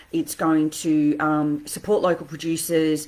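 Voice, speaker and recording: This woman has a fairly low pitch and speaks with an Australian accent. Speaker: interior designer. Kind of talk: live stream talk. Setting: standing home office desk. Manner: fast.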